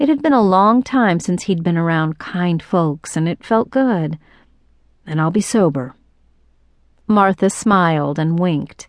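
Against a quiet background, a woman speaks with a dramatic tone and lively intonation at a fairly slow pace, leaving long, frequent pauses. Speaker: audiobook narrator. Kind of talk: audiobook narration. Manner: dramatic, expressive storytelling with character voices; measured, steady pacing.

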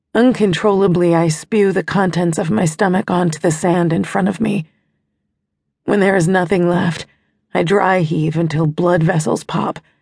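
A woman with an unremarkable speaking voice talks at a fairly low pitch, with fairly even intonation and very even loudness. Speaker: audiobook narrator. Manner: slows to a hushed, pained delivery, with a sneering smug tone for the villain's dialogue.

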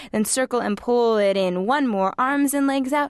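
A woman with a normal speaking voice and lively intonation, at a moderate pace, over a quiet background. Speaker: pilates instructor. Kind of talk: guided Pilates workout, cueing each move and breath. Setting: studio. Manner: brisk, rhythmic counting cues; encouraging, coaxing tone.

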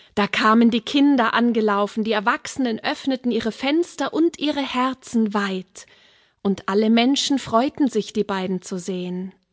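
This woman has a normal speaking voice pitched fairly high, with ordinary pitch variation. The sound is dry and close, without echo. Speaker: fairy tale narrator. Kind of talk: fairy tale telling, audiobook narration. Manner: warm, unhurried storyteller's pacing; gently expressive, voicing characters.

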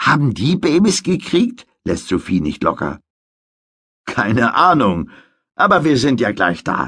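At a very slow pace with long, frequent pauses, a man uses a fairly high pitch and a bright, sharp tone, with very wide pitch swings and vocal fry. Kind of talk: audiobook narration of a children's story, bedtime-story style. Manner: measured, clear storytelling pace for young children.

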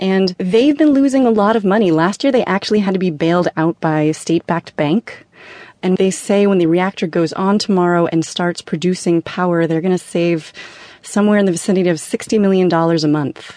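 A woman's medium-pitched voice has a dark, mellow tone and very even loudness, with a dry, close sound with no echo and a quiet background. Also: ordinary pitch variation, fairly quick pace. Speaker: reporter. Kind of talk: radio news interview, explanatory reporting. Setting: remote phone or studio link from Tokyo. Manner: conversational, explanatory, steady.

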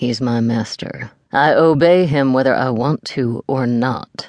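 A man's put-on character voice, medium pitch, fairly slow pace. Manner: dangerous, annoyed.

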